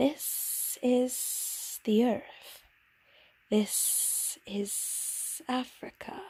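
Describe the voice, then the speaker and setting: A woman performs a put-on character voice at a high pitch. She speaks at a very slow pace. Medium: read story. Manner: calm, enigmatic.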